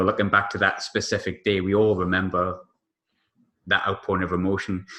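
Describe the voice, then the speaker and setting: This man has an English accent. He speaks at a fairly quick pace. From England. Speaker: sports journalist, podcast guest. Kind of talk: casual podcast chat about football.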